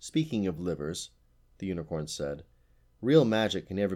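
The text is read aloud in a natural voice.

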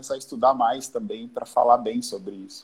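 A man's dark, mellow tone at a fairly quick pace. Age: 40s. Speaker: business owner, art supplies importer. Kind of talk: casual live-stream interview. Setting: online live stream.

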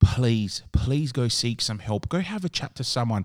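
On a very clean recording with a silent background, a man with an Australian accent speaks fairly slowly. His medium-pitched voice has a dark, mellow tone and lively intonation. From Adelaide, Australia. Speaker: podcast host, wedding DJ and MC. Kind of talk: casual interview chat.

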